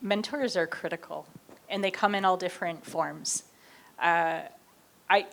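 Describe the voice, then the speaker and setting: A woman speaks at a fairly quick pace. Her pitch is medium, with ordinary variation. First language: not English. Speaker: professor. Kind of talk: panel discussion.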